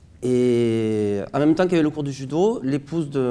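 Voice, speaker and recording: Speaking in a southern French accent, a man has a dark, mellow tone, medium pitch and ordinary pitch variation. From southern France, Montpellier. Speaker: flamenco dancer. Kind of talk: interview.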